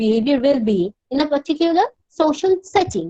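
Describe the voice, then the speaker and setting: With a Bengali accent, a woman speaks at a moderate pace in a high pitch with very wide pitch swings, the sound dry and close with no echo. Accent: Indian English, Bengali. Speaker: university counsellor. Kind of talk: lecture. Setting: online class. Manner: halting, repeated false starts.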